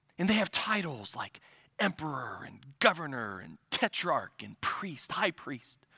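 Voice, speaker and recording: With a Midwestern US accent, a man speaks at a fairly slow pace, fairly high in pitch with very wide pitch swings, vocal fry, and a bright, sharp tone. The sound is dry and close with no echo, on a very clean recording with a silent background. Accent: Midwestern US, general American. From US Midwest. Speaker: preacher. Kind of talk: sermon. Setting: church. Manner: hesitant, with frequent fillers.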